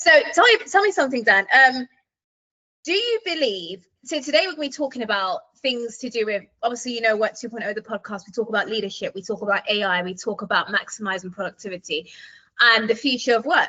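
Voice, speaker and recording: A woman with a British accent talks at a very fast pace. Her intonation is lively. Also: fairly high pitch for a woman, big swings in loudness. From UK. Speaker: podcast host. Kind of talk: interview.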